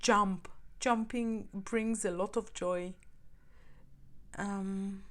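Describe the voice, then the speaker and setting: With a non-native accent, a woman at medium pitch speaks in a monotone, flat intonation at a very slow pace, leaving long, frequent pauses. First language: not English. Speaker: tarot reader. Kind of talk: tarot reading monologue. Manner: halting, repeats words.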